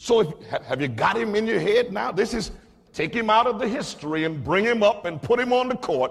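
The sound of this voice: An unforced reading voice rises and falls with lively intonation.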